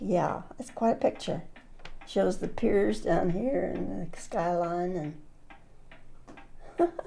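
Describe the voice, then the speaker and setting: A woman speaks at a very slow pace with long, frequent pauses, her tone dark and mellow with vocal fry. Her pitch swings very widely. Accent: American. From Fresno, California. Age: 80s+. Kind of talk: interview answer.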